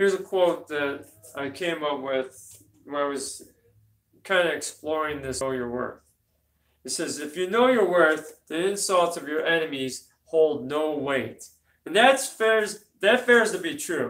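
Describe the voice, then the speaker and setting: Mumbling at a fairly slow pace, a man speaks with a fairly high pitch and lively intonation. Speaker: motivational speaker and minister. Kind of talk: motivational talk to camera. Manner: mumbles, slurs words; casual, conversational.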